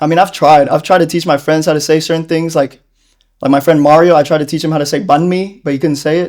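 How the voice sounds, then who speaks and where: A man with an American accent speaks at a very fast pace. His intonation is flat and monotone. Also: fairly high pitch for a man. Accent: Americanized way of speaking. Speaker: interviewee. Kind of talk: casual interview. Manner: chatty.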